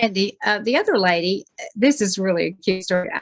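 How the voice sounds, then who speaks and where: With vocal fry and ordinary pitch variation, the voice moves at a moderate pace in a dry, close sound with no echo. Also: woman. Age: 70s. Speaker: beauty product sales consultant. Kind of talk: panel discussion.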